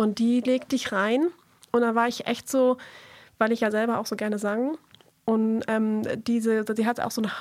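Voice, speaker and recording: This woman has an ordinary speaking voice with fairly high pitch. She keeps a moderate pace and fairly even intonation. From northern Schleswig-Holstein, Germany. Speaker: singer-songwriter. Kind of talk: radio interview. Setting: radio studio.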